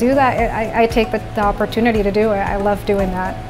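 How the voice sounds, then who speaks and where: A woman's fairly high voice with clear music in the background. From born in Venezuela, grew up in the Netherlands. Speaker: orthodontist. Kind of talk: interview answer. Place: office. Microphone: lapel.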